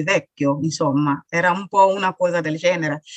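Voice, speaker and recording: At a fairly quick pace, an unremarkable speaking voice moves with ordinary pitch variation in a dry, close recording with no echo. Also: woman. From Burkina Faso. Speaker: author and sickle cell patient. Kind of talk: interview testimony.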